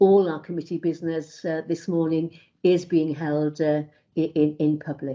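A woman's fairly low voice in a Welsh accent, monotone and flat, at a very slow pace against a quiet background. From Wales. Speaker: committee chair. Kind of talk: formal committee meeting. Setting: video call. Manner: formal; halting, many fillers. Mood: calm, formal. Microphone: video call.

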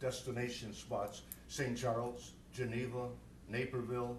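There is audible room echo and noticeable background noise. A man speaks at a medium pitch. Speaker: village board trustee. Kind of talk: public meeting discussion. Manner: loud.

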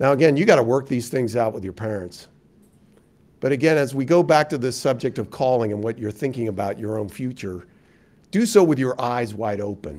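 With lively intonation, this man speaks fairly quickly. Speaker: university dean and public policy speaker; public speaker. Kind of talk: keynote lecture. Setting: stage with audience. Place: meeting room. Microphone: lapel.

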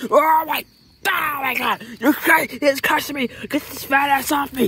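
High pitch marks this put-on character voice. The delivery is very slow. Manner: panicked, screaming.

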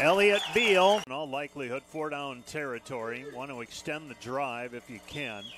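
A man at a fairly high pitch, lively in intonation, moderate in pace with hardly any pauses, his sound dry with no echo against noticeable background noise. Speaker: football radio play-by-play announcer. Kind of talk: live sports commentary. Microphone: headset.

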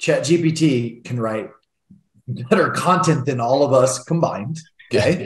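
With audible room echo, a man of medium pitch speaks at a fairly slow pace with ordinary pitch variation.

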